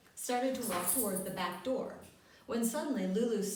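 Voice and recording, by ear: Ordinary pitch variation in reading aloud in a natural voice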